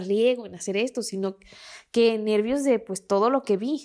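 Speaking with a Mexican accent at a fairly slow pace, a woman shows ordinary pitch variation on a very clean recording with a silent background. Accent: Mexican Spanish (Jalisco). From Mexico, Guadalajara. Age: 20s. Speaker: podcast host. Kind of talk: storytelling monologue.

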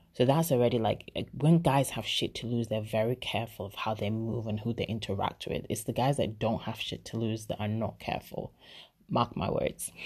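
Over a quiet background, a woman with a very deep, low pitch speaks in an animated tone at a moderate pace, with ordinary pitch variation. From Nigeria. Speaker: YouTube vlogger. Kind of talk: casual monologue.

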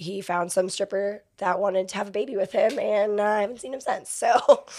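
A woman with an American accent, an ordinary speaking voice, medium pitch, fairly even intonation and a moderate pace. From Florida (Fort Myers and Inglewood area). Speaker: exotic dancer. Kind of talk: casual interview chat. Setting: studio.

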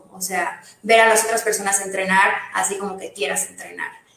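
Speech comes at a moderate pace in a monotone, flat delivery, with audible room echo around it. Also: woman. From Mérida, Yucatán, Mexico. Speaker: CrossFit coach and nutritionist. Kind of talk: casual interview.

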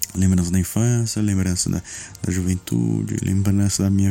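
Speaking at a moderate pace, a man uses a fairly low pitch and a dark, mellow tone. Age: 30s. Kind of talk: casual chat.

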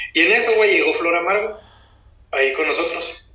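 A man with a northern Mexican accent talks at a fairly quick pace. Audible room echo surrounds his voice. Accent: northern Mexican (Chihuahua). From Chihuahua, northern Mexico. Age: 30s. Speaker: rapper. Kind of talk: casual chat.

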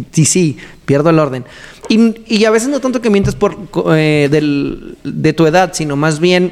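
At a fairly slow pace, a man speaks in a fairly high voice with lively intonation. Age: 30s. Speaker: podcast host. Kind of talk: casual chat.

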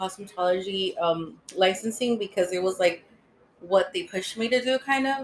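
A woman's plain, everyday voice at a medium pitch, with an American accent, fairly even intonation and a moderate pace. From California (San Francisco, Los Angeles). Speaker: cosmetologist and beauty business owner. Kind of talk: casual interview.

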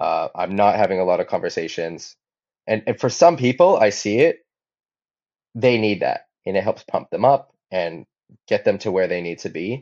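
A man with a Hawaiian accent at a moderate pace. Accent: American (Hawaii). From Hawaii, Maui. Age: 30s. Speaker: professional windsurfer. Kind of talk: interview. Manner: halting, frequent repetitions.

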